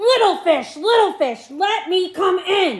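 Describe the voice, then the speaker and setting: A woman bellows in a put-on character voice at an extremely high pitch. She goes at a fairly slow pace. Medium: read story. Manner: roaring, threatening.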